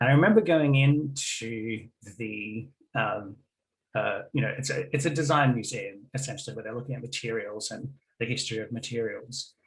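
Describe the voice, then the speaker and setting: Speaking with a slight Australian accent, a man uses a medium pitch and ordinary pitch variation, his voice somewhat breathy. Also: moderate pace. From Australia, Melbourne. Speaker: game studies academic. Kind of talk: conference presentation. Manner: hesitant, many fillers.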